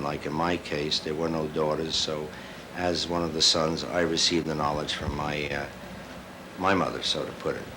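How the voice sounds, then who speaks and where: A man with a very deep, low pitch talks at a fairly quick pace in a monotone, flat way, with noticeable background noise and audible room echo. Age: 60s. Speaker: crystal researcher and teacher. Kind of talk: interview testimony. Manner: casual, hesitant with fillers.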